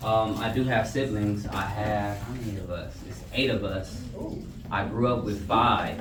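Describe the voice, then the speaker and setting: A man at a fairly low pitch, fairly slow pace and fairly even intonation, with audible room echo and noticeable background noise. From Los Angeles. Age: 30s. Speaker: guest speaker, former gang member. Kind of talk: motivational talk to students, Q&A. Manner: casual.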